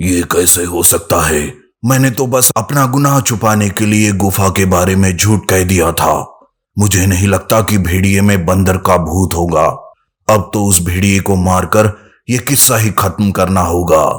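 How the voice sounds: Using a cartoonish character voice, a man speaks at a moderate pace with a fairly low pitch.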